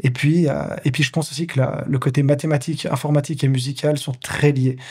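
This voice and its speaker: A man talks at a fairly quick pace and a fairly high pitch. His intonation is monotone and flat. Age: 30s. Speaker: pianist, composer and entrepreneur. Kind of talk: interview. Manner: fast; clear articulation.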